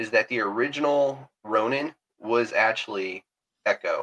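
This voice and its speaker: A man with a Southern US accent, the sound dry and close with no echo. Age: 40s. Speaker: podcast host. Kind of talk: casual chat. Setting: video call.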